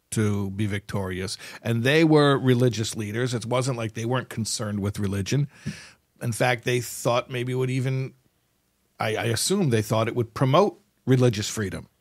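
This man has an unremarkable speaking voice, medium in pitch, with an American accent and ordinary pitch variation, captured on a very clean recording over a silent background. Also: moderate pace. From United States. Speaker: podcast host, rabbi-style teacher. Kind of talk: casual chat.

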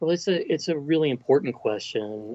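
A man's lively, rising-and-falling delivery in a West Texas accent. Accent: Texan (West Texas). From Texas Panhandle. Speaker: college president. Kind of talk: interview.

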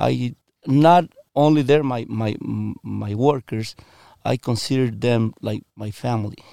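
At a very slow pace, a man with a Mexican accent speaks with ordinary pitch variation in a dry, close sound with no echo. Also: medium pitch for a man. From Mexico, Michoacan. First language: Spanish. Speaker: dairy farmer. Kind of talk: interview. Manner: halting, many repetitions and fillers.

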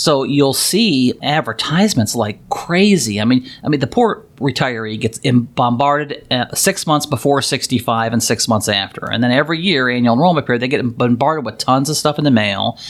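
Speaking at a medium pitch, a man leaves hardly any pauses. His pitch varies in an ordinary way. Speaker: financial planner and podcast host. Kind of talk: casual interview about Medicare. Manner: fast talker.

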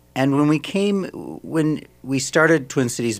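Speaking with an American accent, a man uses ordinary pitch variation in a very clean recording where the background is silent. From Minnesota, Saint Paul. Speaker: ballet company director, former dancer. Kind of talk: radio interview. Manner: halting.

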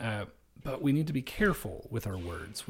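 A somewhat breathy man at a fairly quick pace, in a very clean recording with a silent background. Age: 30s. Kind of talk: solo monologue. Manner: hesitant, many fillers.

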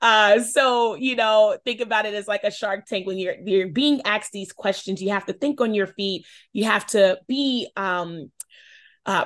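Against a quiet background, a woman with an American accent talks in a normal speaking voice of medium pitch with ordinary pitch variation. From Charlotte, North Carolina. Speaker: shoe company founder. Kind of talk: interview.

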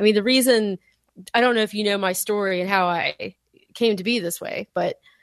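Speaking at a fairly quick pace, a woman uses a plain, everyday voice at medium pitch with fairly even intonation. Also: dry, close sound with no echo. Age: 40s. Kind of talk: casual chat.

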